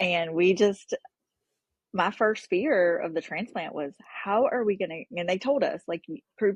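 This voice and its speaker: With an American accent, a woman talks at a moderate pace in an unremarkable speaking voice of medium pitch, her intonation lively. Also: dry, close sound with no echo. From North Carolina. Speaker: parent of transplant patient. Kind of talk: podcast interview.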